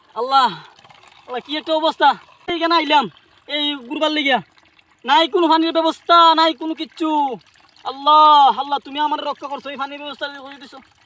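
With an extremely high voice and fairly even intonation, a man speaks in big swings of loudness. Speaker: video vlogger. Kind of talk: casual vlog narration. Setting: outdoors. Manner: halting.

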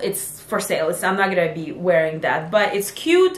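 Audible room echo surrounds a woman's voice. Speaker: sewing vlogger. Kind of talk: casual vlog chat. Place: home room.

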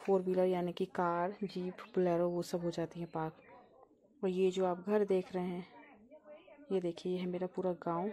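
A woman's dark, mellow voice, monotone and flat at a moderate pace, over light background noise. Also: medium pitch for a woman. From Uttarakhand, Pauri Garhwal; Uttarakhand. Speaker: vlogger. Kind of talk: travel vlog narration. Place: open country. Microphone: phone near.

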